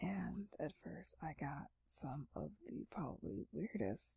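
A woman whispers slowly, her voice carrying a husky, rough edge and vocal fry.

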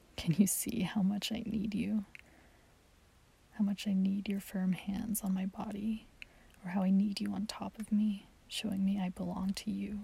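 A woman uses a put-on character voice with a dark, mellow tone, a husky, rough edge and vocal fry. She keeps a medium pitch with little pitch movement at a moderate pace.

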